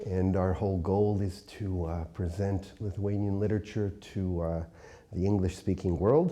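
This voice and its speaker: With a northeastern US accent, a man speaks at a moderate pace in a very deep, low voice with a dark, mellow tone and fairly even intonation. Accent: American English, northeastern US. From upstate New York, US. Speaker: poet and translator, university teacher. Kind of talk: interview. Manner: hesitant, many filler words.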